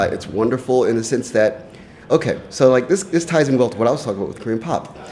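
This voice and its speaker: Noticeable background noise runs under the recording. Over it, a man talks at a fairly quick pace. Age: 30s. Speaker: music writer and contributor. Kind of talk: casual chat. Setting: studio.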